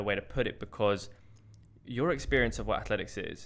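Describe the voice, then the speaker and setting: A man with a London accent talks at a very fast clip, his intonation lively. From North London, England. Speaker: podcast host and hurdler. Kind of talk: casual chat.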